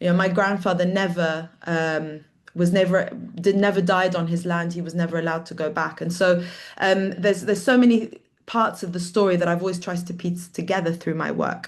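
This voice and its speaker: A woman with a British accent speaks at a fairly quick pace, her fairly low pitch delivered in a monotone, flat intonation. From London, England. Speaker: artist. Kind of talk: talk on own work.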